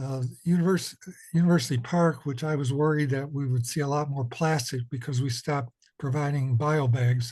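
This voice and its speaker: Against a quiet background, a man speaks in a somewhat breathy, fairly high voice with fairly even intonation. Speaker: commission member, committee chair. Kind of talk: public meeting report. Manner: halting, many fillers.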